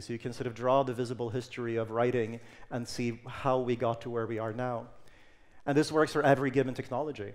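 With fairly even intonation, a man talks at a very fast pace. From Sweden, Stockholm; Sweden. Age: 30s. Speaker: technology futurist speaker; conference speaker. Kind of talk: conference talk; presentation talk. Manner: some hesitations and fillers. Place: stage. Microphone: headset.

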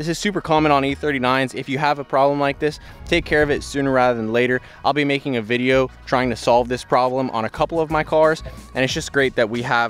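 Over faint background music, the voice runs at a very fast pace with fairly even intonation and a dry sound with no echo. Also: man. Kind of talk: casual vlog walkaround commentary. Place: street. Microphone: phone near.

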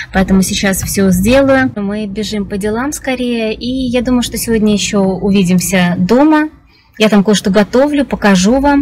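A woman at a moderate pace, ordinary pitch variation, light background noise. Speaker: vlogger. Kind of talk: casual vlog chat. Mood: cheerful, chatty. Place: car. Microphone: phone near.

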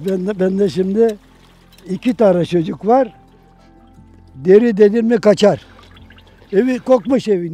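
A man's high voice with ordinary pitch variation and long, frequent pauses, over faint music in the background, with a dry sound and no echo. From Turkey. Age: 80s+. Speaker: parchment maker. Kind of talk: interview. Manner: halting. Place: garden.

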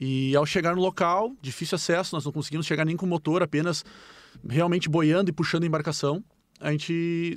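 This man has a high pitch and fairly even intonation. He talks at a fairly quick pace in a dry sound with no echo. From Rio Grande do Sul, Brazil. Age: 30s. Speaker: firefighter; guest. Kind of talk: interview. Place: studio. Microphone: studio mic.

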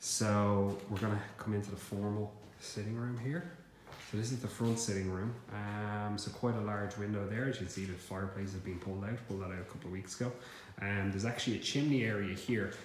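Fairly low in pitch, a man talks at a fairly quick pace with fairly even intonation, with audible room echo and light background noise. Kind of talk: casual walkthrough tour. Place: empty room. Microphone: phone near.

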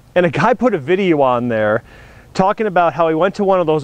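The man's voice sounds dry, with no echo. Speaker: car show host. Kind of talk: casual vlog chat. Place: street.

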